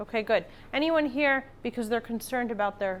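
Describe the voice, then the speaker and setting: Her pitch shows ordinary variation. The woman keeps a moderate speed. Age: 40s. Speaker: estate planning attorney. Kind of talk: lecture. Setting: classroom with live audience. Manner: loud.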